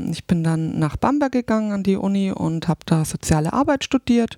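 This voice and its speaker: A woman's dark, mellow tone at a moderate pace. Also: dry, close sound with no echo. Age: 40s. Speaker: social sciences podcaster. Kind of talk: casual interview. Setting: studio. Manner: hesitant, many fillers.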